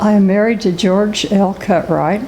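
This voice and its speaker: A woman speaks at a medium pitch and a moderate pace in a monotone, flat way. Room echo and noticeable background noise surround her voice. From US Midwest, rural Cumberland County, Illinois. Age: 80s+. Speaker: local historian. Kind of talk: oral history interview.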